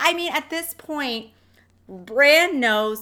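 A woman's bright, sharp voice makes very wide pitch swings. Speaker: podcast co-host. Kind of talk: casual chat.

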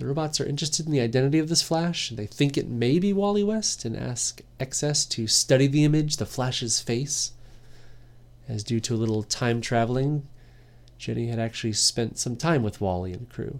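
A man speaks at a moderate pace in a plain, everyday voice with lively intonation. The recording is very clean, with a silent background. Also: medium pitch for a man. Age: 30s. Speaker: comic book podcast host. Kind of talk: solo review podcast.

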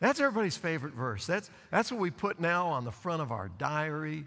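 With an unremarkable speaking voice, a man talks at a fairly quick pace and fairly high pitch, his intonation lively. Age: 60s. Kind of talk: sermon. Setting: church with congregation.

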